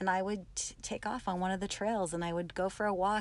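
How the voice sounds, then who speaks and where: Against a quiet background, a woman uses a plain, everyday voice at medium pitch with ordinary pitch variation. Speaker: camp attendee guest. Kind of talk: casual interview chat.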